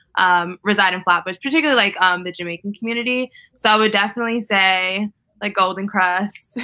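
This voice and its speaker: A woman talks at a fairly quick pace in a medium pitch, her tone bright and sharp and her pitch varying in an ordinary way. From New York. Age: 20s. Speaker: activist and public speaker. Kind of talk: casual conversation. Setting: video call. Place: home room. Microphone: webcam.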